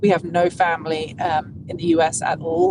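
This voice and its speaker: A woman with an English accent. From England. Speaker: golf broadcaster. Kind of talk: interview. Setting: podcast interview.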